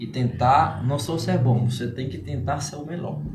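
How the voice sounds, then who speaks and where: With a Spanish accent, a man of medium pitch speaks at a fairly slow pace with ordinary pitch variation, with music in the background and audible room echo. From Cuba. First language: Spanish (speaking Portuguese). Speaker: entrepreneur. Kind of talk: podcast interview. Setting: live-streamed podcast studio.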